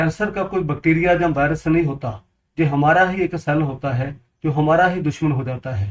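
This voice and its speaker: A man with a Punjabi accent speaks at a fairly high pitch, his pitch moving in an ordinary way. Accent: Punjabi-accented Hindi. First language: Punjabi (speaking Hindi). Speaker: water purifier seller, health advice video maker. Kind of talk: informational talk to camera.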